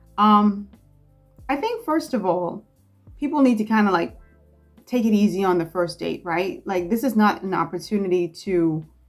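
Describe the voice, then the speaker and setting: With lively intonation and a moderate pace, a woman talks while music plays behind her. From Bahamas. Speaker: content creator. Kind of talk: casual talk to camera.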